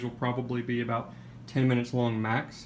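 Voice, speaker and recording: Speaking at a very fast pace, a man with a medium pitch delivers his words in a monotone, flat intonation. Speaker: PC building hobbyist YouTuber. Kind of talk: casual show-and-tell vlog. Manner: hesitant, many fillers; uneven pace and volume, throat clearing.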